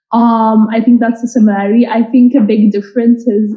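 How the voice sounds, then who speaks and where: A woman's somewhat breathy, fairly high voice in a flat monotone at a moderate pace. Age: 20s. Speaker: product manager on a panel. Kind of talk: panel discussion.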